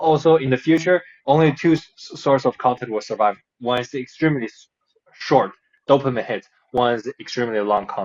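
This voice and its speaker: A man with a slight non-native accent speaks at a medium pitch, his loudness swinging widely. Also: ordinary pitch variation, fairly quick pace. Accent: slight foreign. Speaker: podcast host. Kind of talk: casual chat. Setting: video call. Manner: halting.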